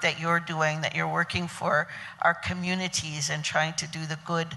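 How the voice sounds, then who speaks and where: Her voice is fairly low for a woman, with a bright, sharp tone and flat, monotone intonation. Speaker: wild foods educator. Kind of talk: panel talk at a conference. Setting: stage with audience. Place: hall. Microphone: handheld.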